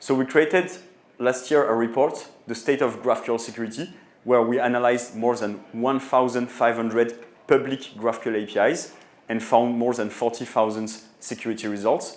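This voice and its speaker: Speaking at a moderate pace with a French accent, a man with a medium pitch keeps his intonation fairly even in audible room echo. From France. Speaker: tech company co-founder and CEO. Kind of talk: conference talk. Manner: hesitant, many filler sounds.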